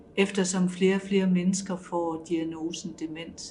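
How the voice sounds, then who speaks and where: Her voice fairly low and somewhat breathy, a woman speaks slowly-ish in a monotone, flat delivery. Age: 60s. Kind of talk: testimony.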